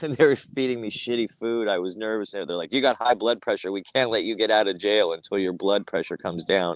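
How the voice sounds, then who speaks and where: In a normal speaking voice, a man talks fairly low and fairly quickly with ordinary pitch variation and hardly any pauses, in a dry, close sound with no echo. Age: 60s. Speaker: cannabis church leader, podcast co-host. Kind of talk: casual chat.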